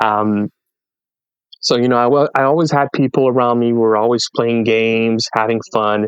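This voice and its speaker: Fairly even intonation and very even loudness in a French Canadian accent, with a dry, close sound and no echo. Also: man, medium pitch for a man, moderate pace. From French Canada. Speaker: podcast guest, content creator. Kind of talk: casual interview chat, life story.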